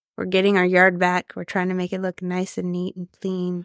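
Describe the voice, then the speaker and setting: At a moderate pace and medium pitch, a woman speaks on a very clean recording with a silent background and a dry, close sound with no echo. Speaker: farmer and podcast co-host. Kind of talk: casual chat.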